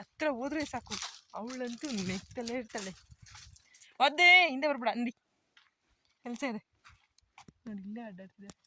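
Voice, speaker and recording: The sound is dry and close, with no echo. Pitch varies in an ordinary way while loudness swings widely. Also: woman, high pitch for a woman. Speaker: vlogger. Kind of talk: casual vlog narration. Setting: outdoors in a farm field.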